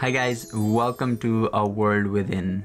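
There is light background noise. A man speaks with fairly even intonation. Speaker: channel host. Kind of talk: casual vlog chat. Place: home room.

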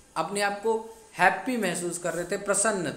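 A man speaks in a high voice with ordinary pitch variation. Noticeable background noise runs underneath. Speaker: English teacher. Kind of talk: classroom lesson explanation.

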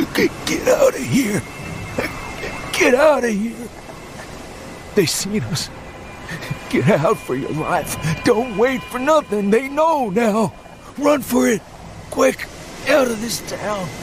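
Whispering in a shaky put-on character voice, a man goes at a fairly slow pace with long, frequent pauses against clear background noise.

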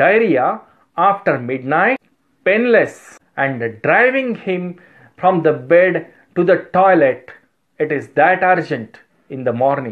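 The background is quiet. A man with a high voice speaks at a very slow pace. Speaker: homeopathy teacher. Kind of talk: lecture. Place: office. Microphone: phone near.

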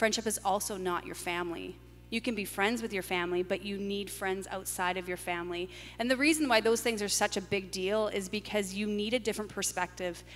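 With faint music in the background, a woman talks at a fairly quick pace in a medium-pitched voice with fairly even intonation. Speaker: pastor. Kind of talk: panel discussion in church service. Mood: reflective, candid. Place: church. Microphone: handheld.

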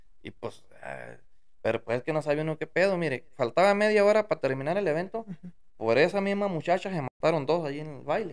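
A man's fairly high voice at a fairly quick pace, with big swings in loudness, over a quiet background. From Mexico, Durango sierra; Mexico. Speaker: musician; podcast guest. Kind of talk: casual interview. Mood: relaxed, storytelling. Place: studio. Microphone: studio mic.

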